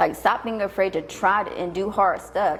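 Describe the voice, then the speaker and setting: A woman with a normal speaking voice talks at a fairly slow pace, her pitch medium. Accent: American. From Tennessee, US South. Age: 30s. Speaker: entrepreneur. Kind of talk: interview conversation. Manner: casual.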